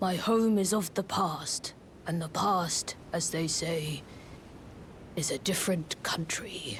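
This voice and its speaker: The speaker whispers in a put-on character voice. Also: fairly slow pace. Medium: video game. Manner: gravely wistful.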